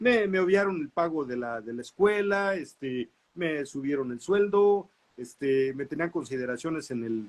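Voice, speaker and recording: Lively intonation marks this man's voice, which sits at a fairly high pitch. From Mexico, Nezahualcóyotl (State of Mexico). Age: 60s. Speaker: visual artist. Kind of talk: interview. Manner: hesitant, many fillers and repetitions.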